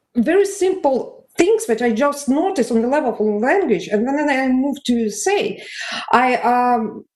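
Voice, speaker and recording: A woman speaks at a moderate pace in a high voice with very wide pitch swings, and audible room echo surrounds her. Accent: Russian. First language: Russian. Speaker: conference audience member. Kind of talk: conference discussion remark. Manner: halting.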